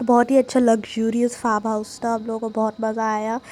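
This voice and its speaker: The intonation is monotone and flat, with noticeable background noise behind it. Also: woman. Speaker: vlogger. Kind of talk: vlog voice-over narration. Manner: casual, chatty.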